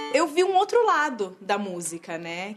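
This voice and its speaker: Noticeable background noise sits under the recording. A woman speaks at a very slow pace. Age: 20s. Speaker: orchestra violinist. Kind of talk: interview testimony.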